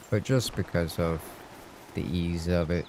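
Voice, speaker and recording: A man at a moderate pace, with a very deep, low pitch and a Southern US accent. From US South. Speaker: gaming streamer. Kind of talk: casual chat. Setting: live stream.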